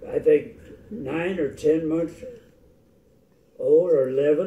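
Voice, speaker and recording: An American-accented man speaks at a fairly slow pace with a high pitch. His tone is dark and mellow, with ordinary pitch variation. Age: 80s+. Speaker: retired Air Force officer and pilot. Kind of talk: family interview storytelling.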